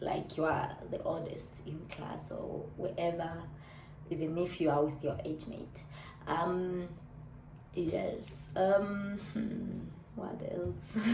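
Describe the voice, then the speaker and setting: A woman speaks very slowly, with audible room echo and noticeable background noise around her. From Namibia. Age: 30s. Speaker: YouTuber. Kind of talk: casual vlog chat.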